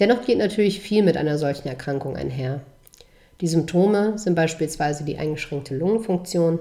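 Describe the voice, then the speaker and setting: A woman speaks at a fairly low pitch with a dark, mellow tone. Her intonation is lively and her pace fairly quick. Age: 20s. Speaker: podcast host and author. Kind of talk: reading aloud; casual monologue. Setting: hospital. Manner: halting with fillers.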